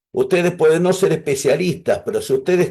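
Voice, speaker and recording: Speaking with an Argentine accent, a man uses a high pitch and ordinary pitch variation. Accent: Argentine Spanish (Rioplatense). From Argentina. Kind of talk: online class.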